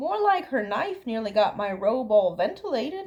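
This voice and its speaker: Putting on a character voice, a woman swings very widely through her pitch from a fairly high base. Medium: read story. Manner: nervous, stammering.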